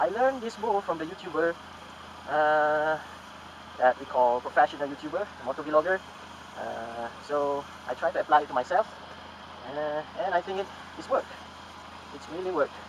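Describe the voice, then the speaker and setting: Noticeable background noise sits behind a man speaking at a fairly quick pace. His intonation is lively, broken by long, frequent pauses. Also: big swings in loudness. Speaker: motovlogger. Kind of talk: tutorial. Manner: halting.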